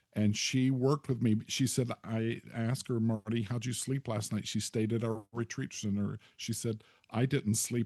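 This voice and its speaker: A man with a medium pitch and a dark, mellow tone talks with hardly any pauses in a monotone, flat intonation, the sound dry and close with no echo. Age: 70s. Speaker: author and retired pastor. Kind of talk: interview conversation, storytelling.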